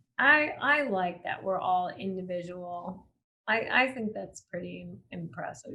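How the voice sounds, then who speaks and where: Speaking with an American accent, a woman at medium pitch talks fairly slowly with very wide pitch swings and big swings in loudness. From Maine, US Northeast. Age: 30s. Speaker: motorcycle rider. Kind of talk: casual chat.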